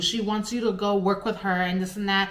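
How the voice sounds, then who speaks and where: A woman speaks in an animated tone at a moderate pace. Noticeable background noise is present. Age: 20s. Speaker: pet sitter and vlogger. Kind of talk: personal storytime vlog. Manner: halting, stuttering.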